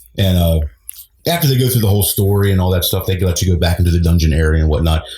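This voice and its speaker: A man talks at a very fast pace in a very deep, low voice with a dark, mellow tone and a somewhat breathy quality. His loudness stays very even, and his pitch varies in an ordinary way. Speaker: guest sharing ghost stories. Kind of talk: podcast interview answer. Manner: casual, hesitant.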